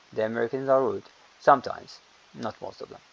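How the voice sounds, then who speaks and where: A man with a non-native accent talks at a fairly quick pace in a fairly high pitch. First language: not English. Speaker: English teacher. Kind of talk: lecture. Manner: halting.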